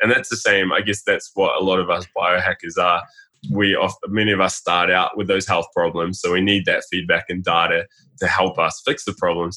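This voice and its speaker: With a New Zealand accent, a man speaks at a fairly quick pace. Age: 30s. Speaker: health blogger. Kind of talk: casual chat.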